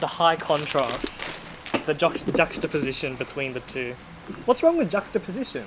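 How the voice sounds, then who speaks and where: A woman's very deep, low voice in an Australian accent, with very wide pitch swings over noticeable background noise. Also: moderate pace. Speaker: speedcubing YouTuber. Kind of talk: casual chat.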